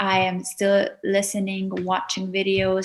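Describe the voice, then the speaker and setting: Over noticeable background noise, a woman speaks in an Azerbaijani accent at a medium pitch with monotone, flat intonation. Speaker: YouTuber, etiquette teacher. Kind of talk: podcast interview.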